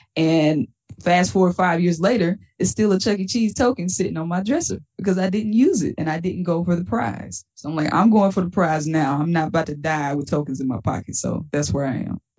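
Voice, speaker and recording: A woman with a Southern US accent talks at a fairly quick pace with hardly any pauses. Her fairly low, somewhat breathy voice carries lively intonation. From Mississippi. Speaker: stand-up comedian. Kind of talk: casual interview.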